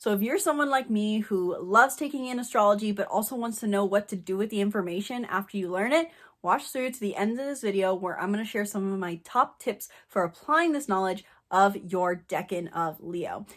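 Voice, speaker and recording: Recorded very cleanly over a silent background, a woman speaks at a fairly quick pace and medium pitch in an animated tone with lively intonation. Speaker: astrologer, online creator. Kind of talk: tutorial. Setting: indoors, Airbnb cabin.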